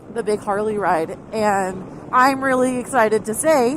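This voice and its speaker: A woman's animated, fairly high voice amid noticeable background noise. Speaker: motorcycle vlogger. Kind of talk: casual vlog monologue. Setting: riding motorcycle, helmet camera.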